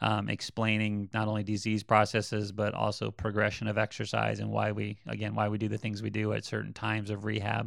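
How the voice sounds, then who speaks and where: Against a quiet background, a man talks at a fairly quick pace with vocal fry. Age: 40s. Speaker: physical therapist. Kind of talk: interview. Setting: his clinic.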